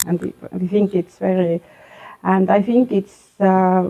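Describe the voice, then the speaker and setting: In an Estonian accent, a woman speaks at a moderate pace with a dark, mellow tone and medium pitch. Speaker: school vice-principal. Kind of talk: interview. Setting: school library. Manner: halting, many hesitations.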